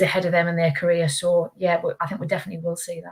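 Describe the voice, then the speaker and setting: Fairly quick, somewhat breathy speech from a woman. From northeast England. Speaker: football referee. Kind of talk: panel interview. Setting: webinar video call.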